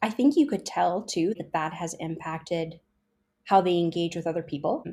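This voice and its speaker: A woman speaks with a dark, mellow tone and fairly low pitch, with ordinary pitch variation. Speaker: podcast host. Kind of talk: casual chat. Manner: fast.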